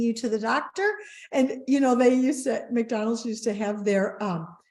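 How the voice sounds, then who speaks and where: With an unremarkable speaking voice, a woman talks at a moderate speed, her pitch fairly high and varying in an ordinary way. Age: 60s. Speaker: wellness company co-founder. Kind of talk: interview storytelling.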